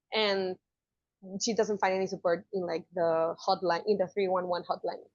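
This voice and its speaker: A woman speaks with a Spanish accent against a quiet background. The sound is dry and close, with no echo. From Mexico. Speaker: journalist. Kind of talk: interview answer.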